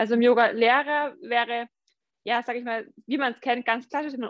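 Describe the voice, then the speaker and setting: The speech moves at a fairly quick pace with ordinary pitch variation. The sound is dry and close with no echo, over a quiet background. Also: woman. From Franconia, Germany (Schwabach). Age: 30s. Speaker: yoga teacher and IT consultant. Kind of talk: interview.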